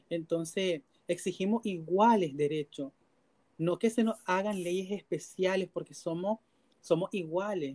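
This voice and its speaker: A woman with a Nicaraguan accent talks at a fairly slow pace, with a fairly low pitch and ordinary pitch variation. Her tone is dark and mellow, and the sound is dry and close with no echo. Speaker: LGBTQ rights activist. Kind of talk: interview.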